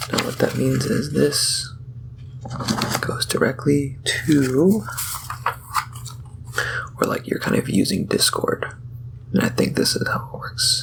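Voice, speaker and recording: Soft-spoken speech moves at a fairly slow pace with long, frequent pauses. Noticeable background noise runs underneath. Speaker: ASMR content creator. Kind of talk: casual talk to camera, soft-spoken technical explanation. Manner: soft-spoken, slow rambling.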